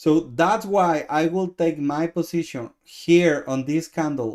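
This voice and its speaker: A man speaks with a Mexican accent at a very slow pace. The recording is very clean, with a silent background. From Mexico. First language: Spanish. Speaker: trading coach. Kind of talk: live trade review stream. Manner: halting, many repetitions.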